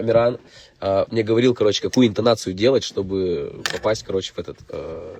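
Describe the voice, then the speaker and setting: Someone speaks at a very fast pace with a Russian accent. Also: man. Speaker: rapper. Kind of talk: casual chat. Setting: studio. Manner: halting.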